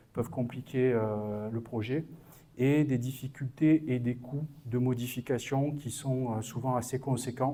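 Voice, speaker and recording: A man with a southern French accent speaks very slowly, his medium-pitched voice dark and mellow. His intonation stays monotone and flat. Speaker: business consultant. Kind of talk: conference talk. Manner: halting, many hesitations.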